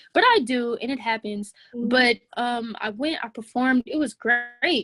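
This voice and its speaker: The speaker is soft-spoken, with an American accent and fairly even intonation. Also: woman. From Atlanta, Georgia, USA. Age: 20s. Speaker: rapper. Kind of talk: interview answer. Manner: soft-spoken, articulate.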